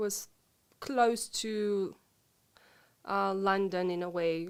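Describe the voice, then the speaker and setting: A woman with a Ukrainian accent. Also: very clean recording, silent background. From Ukraine (Lviv). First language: Ukrainian/Russian. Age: 40s. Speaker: interview guest, expat. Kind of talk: interview conversation. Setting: live stream recording. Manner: hesitant, many fillers.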